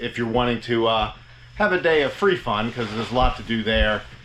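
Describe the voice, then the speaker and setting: A man speaks at a fairly quick pace with a medium pitch. Noticeable background noise runs beneath him. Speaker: RV travel vlogger. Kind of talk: casual vlog narration.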